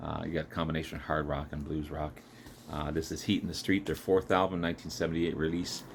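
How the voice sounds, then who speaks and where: With a Canadian accent, a man speaks at a very deep, low pitch and with fairly even intonation. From Canada. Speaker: vinyl record collector YouTuber. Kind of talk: casual show-and-tell video. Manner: fast; hesitant with fillers.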